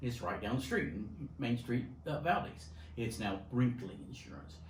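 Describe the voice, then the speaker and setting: Over noticeable background noise and audible room echo, a man talks at a medium pitch and a moderate pace. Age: 60s. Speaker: insurance agency vice president. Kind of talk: interview.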